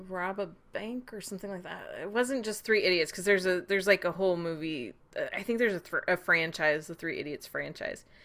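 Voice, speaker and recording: A woman talks at a fairly quick pace and medium pitch. Her loudness swings widely, while her pitch varies in an ordinary way. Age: 40s. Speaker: podcast host. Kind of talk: casual chat.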